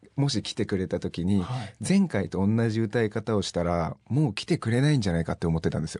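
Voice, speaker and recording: Very wide pitch swings mark this dark, mellow voice, recorded in a dry, close sound with no echo and a quiet background. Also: man. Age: 20s. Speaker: singer-songwriter. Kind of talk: interview.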